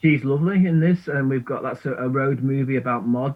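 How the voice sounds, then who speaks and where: A man speaks at a moderate pace with a Manchester accent. His pitch sits in the medium range. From northern England, Manchester (Burnage). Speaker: filmmaker and musician. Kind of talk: casual radio interview. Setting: video call into radio studio. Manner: hesitant, many fillers and repetitions.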